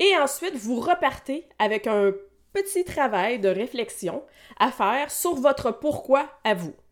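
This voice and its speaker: A woman's high voice with a Quebec accent, very wide pitch swings and a very slow pace, on a very clean recording with a silent background. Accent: Québécois French. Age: 40s. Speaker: massage therapist and wellness coach. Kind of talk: solo podcast monologue.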